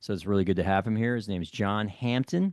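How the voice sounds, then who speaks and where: A man with a fairly low pitch and an unremarkable speaking voice talks at a fairly quick pace. His pitch variation is ordinary, and the sound is dry and close with no echo. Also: quiet background. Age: 50s. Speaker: podcast host. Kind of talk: interview.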